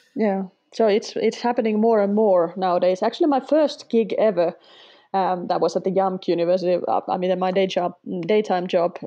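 A woman speaks with a Finnish accent and ordinary pitch variation. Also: medium pitch for a woman. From Finland. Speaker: sketchnoter, former language teacher. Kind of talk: casual interview.

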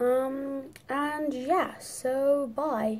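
Background music accompanies the woman as she speaks. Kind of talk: casual talk to camera.

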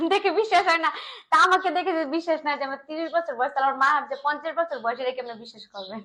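A woman's raised, projected voice, high in pitch, with a bright, sharp tone, lively intonation and big swings in loudness. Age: 30s. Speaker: bride seeking a marriage partner. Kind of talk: interview. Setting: office.

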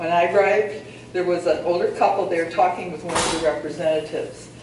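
A woman with a fairly low voice speaks. Room echo is audible, with light background noise. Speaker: retiree and town-appointed committee member. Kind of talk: public meeting remarks. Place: hall. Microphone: camera far.

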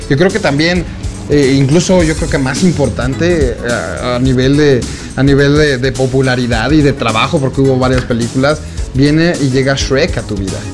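Clear music plays behind a man speaking at a moderate pace, his medium pitch moving in an ordinary way. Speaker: interviewer, show host. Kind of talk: interview question. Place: home room.

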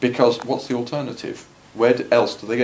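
Over light background noise, a man at a medium pitch talks at a fairly quick pace with fairly even intonation. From UK. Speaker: politician. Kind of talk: Q&A answer. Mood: mildly indignant, explanatory. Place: meeting room. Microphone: phone near.

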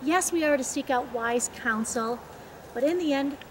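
Over light background noise, a woman talks at a fairly slow pace in a high voice. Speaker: speaker. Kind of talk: devotional talk. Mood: warm, earnest. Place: open country. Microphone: camera far.

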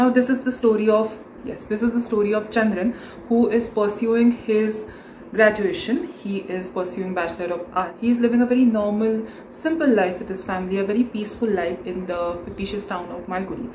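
The speech comes at a fairly quick pace, with light background noise and audible room echo. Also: woman, ordinary pitch variation, big swings in loudness. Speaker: book vlogger. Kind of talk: casual vlog chat. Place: home room. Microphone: phone near.

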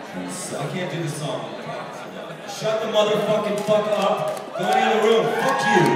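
Amid noticeable background noise and strong room echo, a man speaks at a moderate pace. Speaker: musician. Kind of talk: angry outburst at live concert audience. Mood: furious, swearing. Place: hall.

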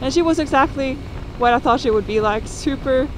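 Through noticeable background noise, a woman speaks at a moderate pace with a dry sound and no echo. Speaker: motorcycle travel vlogger. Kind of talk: casual vlog chat. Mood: relaxed, content. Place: motorbike. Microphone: helmet.

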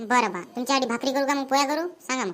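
A woman puts on a cartoonish character voice, high in pitch with ordinary pitch variation, and speaks at a fairly quick pace. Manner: nagging, suspicious.

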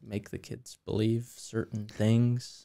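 A man speaks at a very slow pace in a dark, mellow tone. The background is quiet. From US, Greene County; US. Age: 20s. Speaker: landscape designer and first responder; podcast guest. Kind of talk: casual chat. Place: studio. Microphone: studio mic.

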